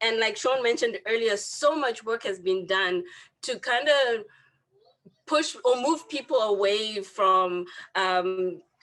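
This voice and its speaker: Speech moves at a very slow pace while the intonation stays lively. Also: woman, fairly high pitch for a woman. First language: not English. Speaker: student wellness counsellor. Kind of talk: panel discussion. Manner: halting, many fillers and repeats.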